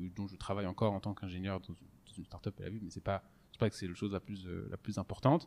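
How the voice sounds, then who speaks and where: On a very clean recording with a silent background and dry, close sound with no echo, a man with a fairly low pitch talks at a very fast pace, his intonation fairly even but his loudness swinging widely. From France, Strasbourg (Alsace). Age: 20s. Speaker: podcast host, engineer. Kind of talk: casual chat. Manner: halting, many fillers and repetitions.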